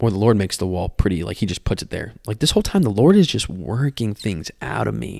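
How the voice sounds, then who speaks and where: Over a very clean recording with a silent background, a man talks at a very fast pace in a fairly low pitch, with vocal fry and lively intonation. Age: 20s. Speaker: podcast host. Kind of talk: testimony.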